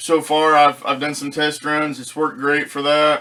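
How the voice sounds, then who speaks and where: A man speaks with a fairly high pitch. His tone is bright and sharp. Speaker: product reviewer, ham radio hobbyist. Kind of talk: casual product review. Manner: hesitant, with fillers and repeats.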